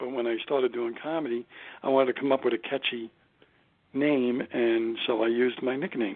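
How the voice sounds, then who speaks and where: A man speaks at a medium pitch with a Brooklyn accent. His pace is fairly quick and his intonation fairly even. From Brooklyn, New York. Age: 60s. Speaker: stand-up comedian. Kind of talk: interview.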